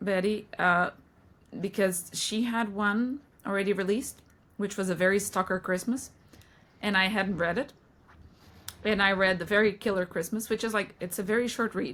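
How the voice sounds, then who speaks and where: With a non-native accent, a woman talks at a moderate pace and fairly even intonation, leaving long, frequent pauses. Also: medium pitch for a woman. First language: not English. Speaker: book podcast co-host. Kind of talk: casual chat.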